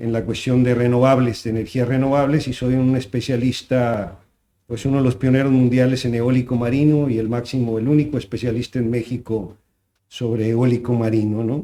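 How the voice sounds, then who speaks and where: A man's medium-pitched voice, dark and mellow in tone, with fairly even intonation at a moderate pace. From Sinaloa, Mexico (Guasave). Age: 60s. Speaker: agronomist and renewable energy specialist. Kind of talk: interview. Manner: halting.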